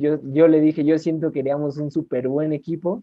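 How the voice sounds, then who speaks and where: A man with a Mexican accent speaks at a fairly high pitch. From Mexico. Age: 20s. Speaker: podcast co-host, clinical psychologist. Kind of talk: casual chat.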